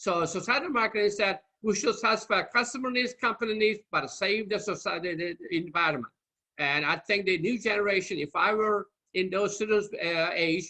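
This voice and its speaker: Speaking with a Turkish accent, a man has a high-pitched voice. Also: ordinary pitch variation, moderate pace. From Turkey. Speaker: marketing lecturer. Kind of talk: lecture. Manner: halting.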